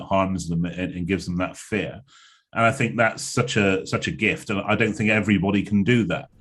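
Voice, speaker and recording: A man talks at a very fast pace in a fairly low pitch. His pitch varies an ordinary amount against a quiet background. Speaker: motivational speaker and speaking coach. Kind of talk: interview conversation. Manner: hesitant, conversational.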